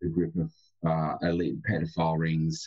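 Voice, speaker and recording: With an Australian accent, a man speaks in a very deep, low voice. His pace is fairly quick. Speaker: remote viewer and gematria guest. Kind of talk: radio interview. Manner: halting, repeats words.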